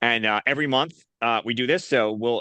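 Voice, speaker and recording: Speaking with a Northeastern US accent, a man has a bright, sharp tone, ordinary pitch variation and a moderate pace, recorded dry and close with no echo over a quiet background. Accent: Northeast US. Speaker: nonprofit association host. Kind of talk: video call interview.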